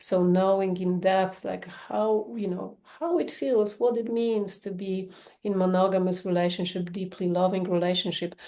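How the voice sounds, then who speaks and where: A woman with a Polish accent speaks at a moderate pace with hardly any pauses, her medium-pitched voice dark and mellow in tone and her intonation fairly even. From Poland. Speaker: sex therapist. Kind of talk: podcast interview.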